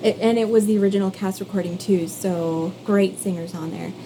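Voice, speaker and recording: A woman with a Canadian accent, medium pitch and fairly even intonation at a moderate pace, over noticeable background noise. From Canada, East Coast. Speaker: singer and content creator. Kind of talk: casual vlog monologue.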